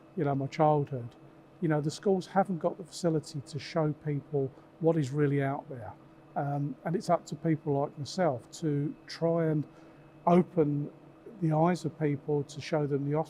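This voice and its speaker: The man's intonation stays fairly even and his pace moderate, with noticeable noise in the background. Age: 60s. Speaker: machine tool industry executive. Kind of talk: casual chat.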